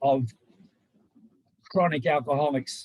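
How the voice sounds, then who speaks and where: With an Australian accent, a man speaks fairly slowly at a fairly high pitch, with ordinary pitch variation. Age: 60s. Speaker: mature-age enabling student. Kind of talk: panel testimony. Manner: halting, many fillers.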